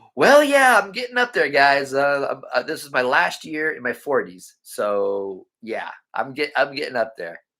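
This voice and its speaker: In a very clean recording with a silent background, a man talks at a moderate pace with hardly any pauses. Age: 40s. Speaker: cemetery explorer vlogger. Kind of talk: live stream chat reading comments. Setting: live stream. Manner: halting.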